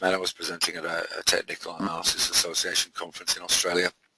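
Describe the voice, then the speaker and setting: The delivery comes at a very fast pace. It carries a British accent. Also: man. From UK. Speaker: trading mentor. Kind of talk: live webinar presentation. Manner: halting, many fillers.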